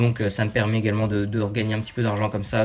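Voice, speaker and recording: A man's fairly low voice over music in the background. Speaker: YouTuber. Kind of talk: casual talk to camera.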